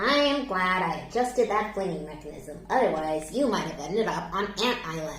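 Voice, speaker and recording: A woman uses a put-on character voice at a medium pitch and a moderate pace. There is slight echo and clear background noise. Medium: read story. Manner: earnest, thoughtful.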